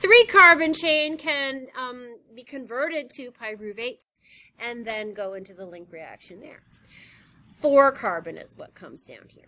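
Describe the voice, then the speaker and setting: A woman with a high pitch and a bright, sharp tone uses a raised, projected voice. Her pitch swings very widely and her loudness varies a lot. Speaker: high school biology teacher. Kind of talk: lecture.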